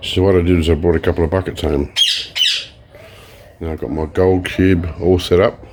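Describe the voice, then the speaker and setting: The speech moves at a fairly quick pace, broken by long, frequent pauses. Background noise is noticeable. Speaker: hobby prospecting and recycling video maker. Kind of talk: casual vlog narration. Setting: outdoors at home near birds. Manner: quiet, soft-spoken; halting.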